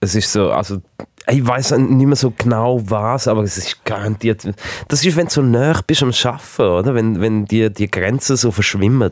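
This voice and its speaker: Speaking with a Swiss accent, a man talks at medium pitch. His pace is moderate and his pitch variation ordinary. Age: 30s. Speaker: distribution manager at a broadcaster. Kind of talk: casual chat. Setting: studio.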